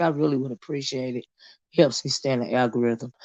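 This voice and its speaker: A dark, mellow tone in a Southern US accent. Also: woman. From US South. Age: 50s. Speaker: YouTube commentary streamer. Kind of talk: live stream chat. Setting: livestream on a phone. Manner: casual, halting with many fillers.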